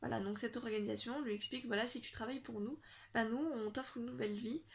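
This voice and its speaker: A woman with a fairly high pitch and ordinary pitch variation talks at a fairly quick pace, with vocal fry throughout. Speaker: book vlogger. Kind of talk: casual vlog chat. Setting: bedroom. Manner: hesitant, many fillers.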